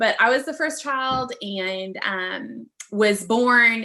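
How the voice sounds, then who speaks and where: Lively intonation from a woman with a fairly high pitch. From California. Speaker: midwife. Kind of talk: interview. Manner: fast.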